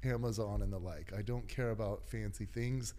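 Amid audible room echo, a man with a dark, mellow tone speaks in a fairly low pitch at a moderate pace. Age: 40s. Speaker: fitness coach and glute training expert. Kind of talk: casual interview.

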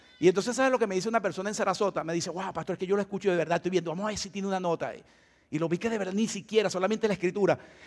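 A man speaks at a high pitch. His pace is very fast. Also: fairly even intonation. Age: 60s. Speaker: pastor. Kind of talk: sermon. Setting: church.

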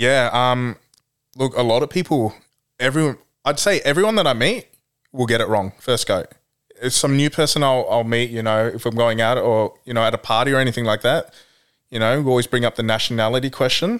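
A man with an Australian accent speaks at medium pitch with ordinary pitch variation on a very clean recording, silent background. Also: fairly quick pace. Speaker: guest. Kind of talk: casual chat.

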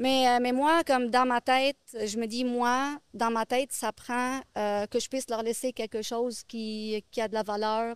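On a very clean recording with a silent background and a dry, close sound with no echo, a woman speaks at a very slow pace and high pitch in a monotone, flat intonation, with hardly any pauses. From Lebanon. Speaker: real estate investor. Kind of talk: interview. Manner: halting.

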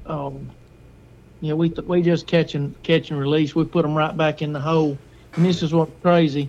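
A man with an Alabama accent talks at a moderate pace in a fairly high pitch, his intonation flat and monotone. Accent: Southern US (Alabama). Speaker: hunter. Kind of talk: casual chat.

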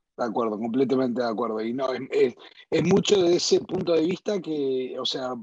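A plain, everyday voice, this man's is fairly high in pitch, delivered at a fairly quick pace with ordinary pitch variation. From US, northern New Jersey, Uruguayan parents. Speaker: insurance company CEO. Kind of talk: interview conversation.

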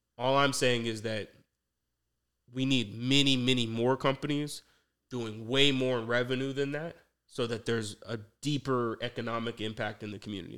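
On a very clean recording with a silent background, a man with an American accent uses an ordinary speaking voice at medium pitch, with fairly even intonation and a moderate pace. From Atlanta, US South. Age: 30s. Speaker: entrepreneur, former attorney. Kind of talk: casual interview.

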